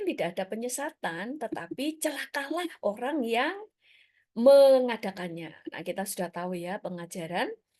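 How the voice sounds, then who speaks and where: A woman with a Surabaya accent, fairly high in pitch, with very wide pitch swings at a moderate pace. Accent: Surabaya accent, noticeable. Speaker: preacher. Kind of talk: sermon. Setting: church service streamed on Zoom and YouTube. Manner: casual, conversational.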